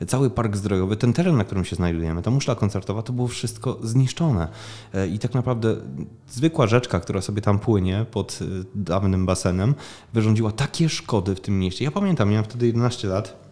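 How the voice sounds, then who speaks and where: A fairly low-pitched man at a fairly quick pace, with ordinary pitch variation and music in the background. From southern Poland, Opole region (Głuchołazy). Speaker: festival founder. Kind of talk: interview. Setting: small room beside a festival stage.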